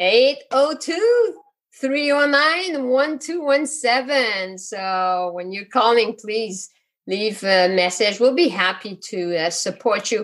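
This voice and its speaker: With a Quebec accent, a woman talks using lively intonation. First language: French. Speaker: physician and coach. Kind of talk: interview. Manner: hesitant, many fillers.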